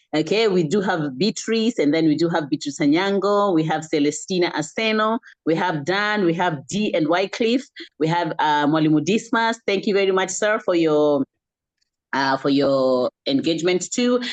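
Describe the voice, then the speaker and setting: A woman with a Kenyan accent speaks at a moderate pace and fairly low pitch, her intonation lively and her loudness very even. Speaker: online wellness community host. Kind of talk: closing remarks and thanks to attendees. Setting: video call.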